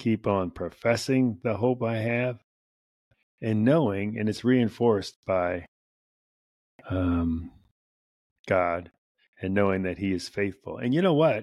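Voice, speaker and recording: Very slow and fairly low, a man speaks in a very clean recording with a silent background. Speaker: podcast host. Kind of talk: devotional reflection monologue. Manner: spontaneous, casual.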